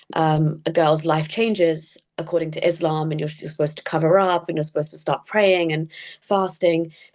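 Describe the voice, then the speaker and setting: A woman with a British accent talks at a fairly quick pace in a fairly low pitch, her intonation monotone and flat while her loudness swings widely. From England (British Pakistani family). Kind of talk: interview.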